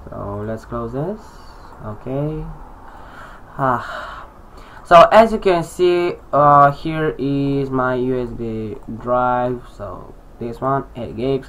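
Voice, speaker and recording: Very slow speech broken by long, frequent pauses plays against noticeable background noise. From Romania. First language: Romanian. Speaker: tech tutorial youtuber. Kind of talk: tutorial. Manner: halting, many fillers.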